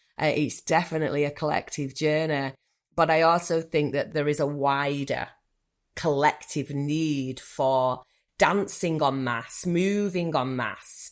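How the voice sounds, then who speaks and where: Very clean and silent in the background, the recording holds a woman with a Manchester accent. Her very deep, low voice moves at a fairly slow pace with ordinary pitch variation. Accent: typical Manchester. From northern England, Manchester. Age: 40s. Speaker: therapist. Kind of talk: podcast interview.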